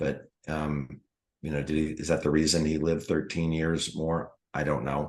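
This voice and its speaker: A man with an American accent, very deep and low in pitch, with vocal fry, a monotone, flat delivery and a moderate pace. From US Mid-Atlantic, Washington DC area. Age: 60s. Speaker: retired foot surgeon, network marketer. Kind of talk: interview.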